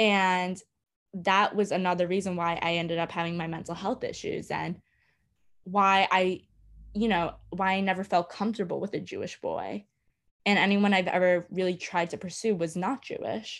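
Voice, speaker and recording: A woman with an American accent talks at a moderate pace and medium pitch, in a monotone, flat intonation. The recording is very clean, with a silent background. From New York City, Brooklyn. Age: 20s. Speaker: podcast guest, host's sister. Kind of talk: casual chat.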